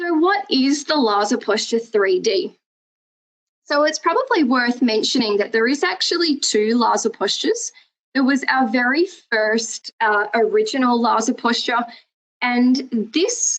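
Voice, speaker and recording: Lively intonation marks a woman's high voice. She speaks at a fairly slow pace. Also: very even loudness. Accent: Australian. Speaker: prosthetics educator. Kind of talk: webinar lecture. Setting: recorded webinar with screen share. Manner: hesitant, many fillers.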